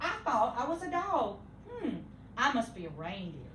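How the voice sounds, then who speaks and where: A woman uses a put-on character voice at a high pitch and a moderate pace over clear background noise. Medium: read story.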